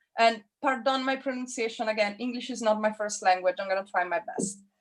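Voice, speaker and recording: Ordinary pitch variation in a fairly high female voice. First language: not English. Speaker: figure drawing teacher. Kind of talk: online class instruction.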